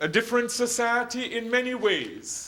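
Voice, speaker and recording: A man speaks in an extremely high pitch with a raised, projected voice. Room echo is audible. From Jamaica. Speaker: hospital chaplain. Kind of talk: lecture.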